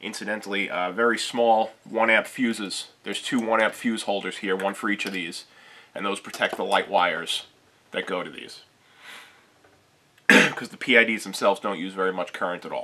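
This is an unremarkable speaking voice with fairly even intonation. It keeps a moderate pace. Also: man, fairly low pitch for a man. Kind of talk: tutorial.

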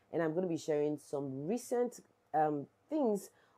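A woman with a Nigerian accent has a dark, mellow tone and a very deep, low pitch. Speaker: YouTuber, social issues vlogger. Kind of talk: vlog / protest commentary. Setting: outdoors at a protest. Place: home room.

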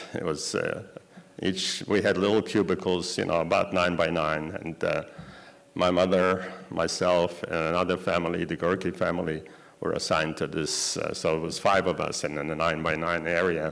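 A man talks in a very deep, low pitch with monotone, flat intonation. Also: moderate pace. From Poland. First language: Yiddish. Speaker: Holocaust survivor giving a talk. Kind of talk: lecture. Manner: halting, with many fillers. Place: hall. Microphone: podium.

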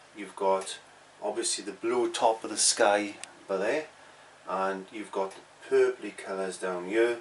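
Over light background noise, a man speaks at a fairly slow pace with a fairly low pitch. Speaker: painting teacher. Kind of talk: tutorial. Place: home room. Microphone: phone near.

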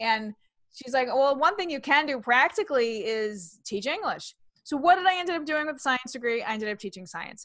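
Over a quiet background in dry sound with no echo, a woman with an American accent talks at a high pitch that makes very wide swings. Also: moderate pace. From New York City. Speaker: comedian and author. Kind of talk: interview chat. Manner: animated, versatile with voices. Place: home room. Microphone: webcam.

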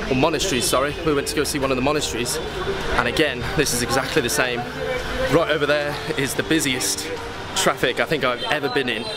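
Clear music plays in the background as the speaker goes at a very fast pace. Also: man. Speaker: travel vlogger. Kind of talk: casual vlog chat. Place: street. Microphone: phone near.

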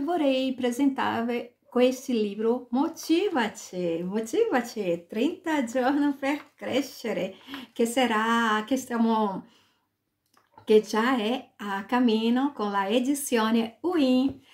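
A woman speaks at a high pitch and a very slow pace. The background is quiet. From Brazil, Salvador, Bahia. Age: 40s. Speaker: author. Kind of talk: self-presentation. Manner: halting, mixing Portuguese and Italian. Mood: warm, smiling. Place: home room. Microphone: webcam.

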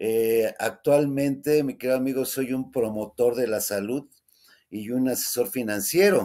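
A man speaks at a fairly slow pace over a quiet background. His tone is dark and mellow, with ordinary pitch variation. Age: 60s. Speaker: explorer and adventure photographer; interview guest. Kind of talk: interview conversation. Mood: warm, friendly. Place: home room.

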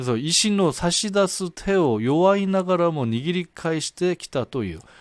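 Speaking at a fairly slow pace, a man with a high pitch uses lively intonation, recorded dry and close with no echo. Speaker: Japanese-language news commentator. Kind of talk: tutorial. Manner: halting.

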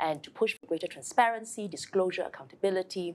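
At a very fast pace, a woman delivers her words. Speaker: guest. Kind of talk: interview answer. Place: studio.

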